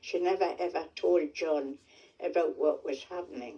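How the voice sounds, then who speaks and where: This woman speaks with a Geordie accent. Her pace is fairly slow. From North Shields, North East England. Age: 80s+. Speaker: war survivor. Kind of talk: testimony.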